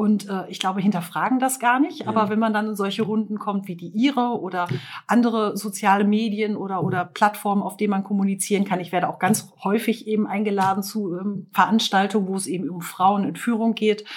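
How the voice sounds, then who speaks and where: Somewhat breathy, a woman speaks at medium pitch with fairly even intonation and hardly any pauses. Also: fairly quick pace. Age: 40s. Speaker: construction company owner. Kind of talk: interview.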